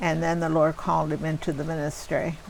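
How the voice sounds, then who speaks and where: A woman talks in a Pennsylvania accent. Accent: Pennsylvania American. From Pennsylvania, US. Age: 70s. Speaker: grandmother being interviewed. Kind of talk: family interview, life stories.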